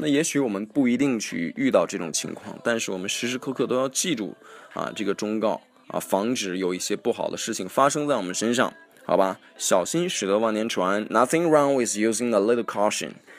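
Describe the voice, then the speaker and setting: Music plays in the background as a man talks in a medium pitch with lively intonation. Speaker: radio-style podcast host teaching English. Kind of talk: casual English-teaching monologue, mixing Chinese and English. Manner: hesitant, many fillers.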